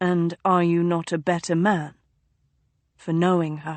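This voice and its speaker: Using a put-on character voice, a woman speaks fairly slowly in a fairly low, flat monotone. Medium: read story.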